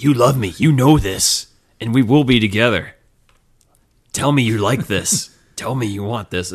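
A raspy, put-on character voice moves at a moderate pace, broken by long, frequent pauses. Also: man, medium pitch for a man. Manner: creepy, possessive.

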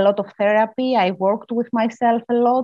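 A woman's dark, mellow, fairly high-pitched voice with a Greek accent and fairly even intonation. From Greece. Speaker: mediator and author. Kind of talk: interview. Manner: halting.

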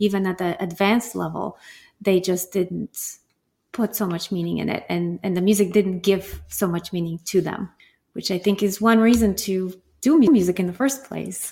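On a very clean recording with a silent background, a woman speaks with a Bulgarian accent. Her pace is moderate and her intonation fairly even. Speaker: guest co-host, piano teacher.

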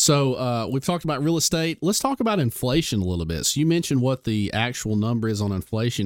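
A man with a plain, everyday voice talks at a fairly quick pace with lively intonation and a medium pitch, on a very clean recording with a silent background. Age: 30s. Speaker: podcast host and doctor. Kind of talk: interview. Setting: studio.

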